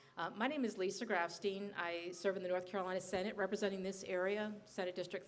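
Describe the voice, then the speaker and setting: A woman's medium-pitched voice stays fairly even in intonation, with clear background noise behind it. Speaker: state senator. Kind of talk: panel speech. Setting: bar event with audience. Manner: soft-spoken; calm, low energy.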